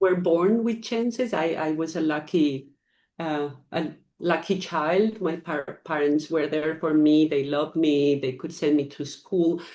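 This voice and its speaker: A woman with a Spanish accent speaks at a very deep, low pitch in a dark, mellow tone. Her pace is fairly slow, her pitch variation is ordinary, and the background is quiet. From Ecuador. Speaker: foundation founder. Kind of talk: interview. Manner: hesitant, many fillers.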